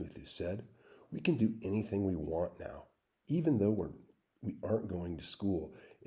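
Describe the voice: Plain reading aloud with lively intonation plays over a quiet background.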